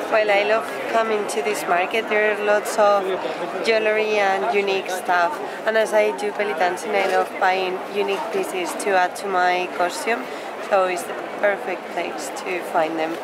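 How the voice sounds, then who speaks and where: A woman talks at a moderate pace with loud background noise behind her. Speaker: travel vlogger. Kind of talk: casual vlog chat. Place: market. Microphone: phone near.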